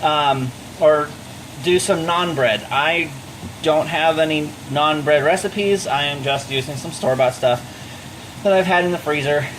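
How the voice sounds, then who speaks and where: A man with a fairly high voice speaks at a moderate pace with fairly even intonation and long, frequent pauses. Noticeable background noise is present. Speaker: home cooking vlogger. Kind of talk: cooking tutorial. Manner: loud, near-yelling; casual, chatty. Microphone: microphone not plugged in, using built-in mic.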